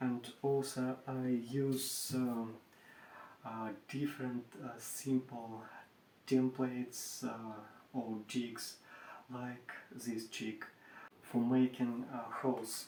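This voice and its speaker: In a Russian accent, a man speaks at a medium pitch with a monotone, flat intonation. His pace is very slow, with long, frequent pauses. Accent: Russian accent, non-native English. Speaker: furniture maker. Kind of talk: tutorial. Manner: halting, many hesitations.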